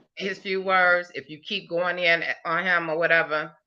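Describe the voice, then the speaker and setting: With a quiet background, a woman speaks at a moderate pace in a fairly low, bright and sharp voice with fairly even intonation. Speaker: livestream host. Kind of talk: casual chat. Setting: live stream. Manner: trips over words when passionate.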